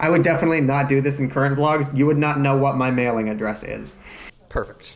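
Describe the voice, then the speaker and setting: A man races along at a very fast pace in a fairly high pitch, with noticeable background noise behind him. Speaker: vlogger. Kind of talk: casual reaction commentary. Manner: animated.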